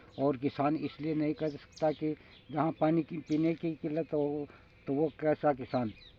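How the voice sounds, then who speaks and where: Here a man talks with a fairly high pitch. His intonation is monotone and flat. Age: 60s. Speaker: village earthquake predictor, YouTuber. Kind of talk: talking-head monologue. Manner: halting, with false starts.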